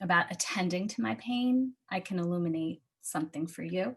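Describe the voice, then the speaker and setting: A woman's normal speaking voice at a medium pitch, with ordinary pitch variation. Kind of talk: confessional inspirational talk to a live audience.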